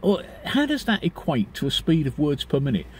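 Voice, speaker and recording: This man has a British accent. He talks at a fairly quick pace. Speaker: vlogger. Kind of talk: casual monologue. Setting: outdoors, parked car area. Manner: halting.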